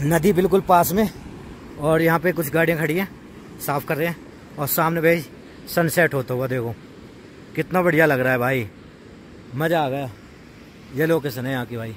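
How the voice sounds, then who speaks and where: A man speaks at a moderate pace with ordinary pitch variation and long, frequent pauses. The sound is dry with no echo, over light background noise. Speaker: camping vlogger. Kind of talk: casual vlog chat. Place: waterside.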